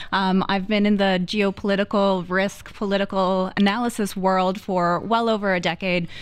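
Here a woman has an unremarkable speaking voice at a medium pitch. She talks at a moderate pace. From US, Florida. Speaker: foreign policy analyst. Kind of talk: radio panel discussion.

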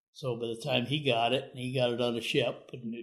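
Monotone and flat in intonation, a man talks at a fairly quick pace. He speaks with a Midwestern American accent. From US Midwest, northeast Iowa. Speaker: retired navy veteran. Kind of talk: interview.

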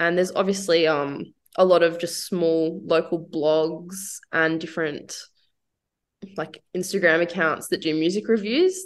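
A woman talks in a plain, everyday voice at a fairly low pitch. Her pace is fairly slow, and her intonation fairly even. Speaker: singer-songwriter and painter. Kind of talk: casual radio interview. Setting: radio studio.

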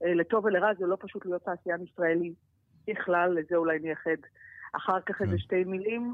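With an ordinary speaking voice, a woman talks fairly quickly at a fairly low pitch and with fairly even intonation. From Israel. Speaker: former politician, head of export organization. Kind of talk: interview.

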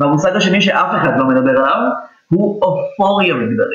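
A man with high pitch and lively intonation, at a moderate pace. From Israel, Petah Tikva. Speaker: journalist and lecturer on gender. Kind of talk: interview conversation. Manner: halting, many fillers.

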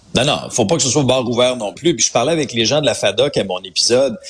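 Speaking at a moderate pace, a man talks with vocal fry. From Quebec, Abitibi. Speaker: radio host, social commentator. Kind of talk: casual chat. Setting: studio.

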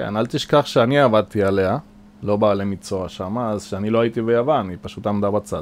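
This man's fairly low voice moves at a fairly quick pace with ordinary pitch variation. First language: Spanish (speaking Hebrew). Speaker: boat maintenance manager. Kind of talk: interview. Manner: hesitant with fillers.

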